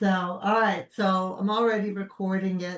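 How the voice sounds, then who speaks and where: Noticeable background noise runs under the speech. The voice has a slight Brooklyn accent and ordinary pitch variation. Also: woman. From Brooklyn, New York. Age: 60s. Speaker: podcast host. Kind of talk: casual chat.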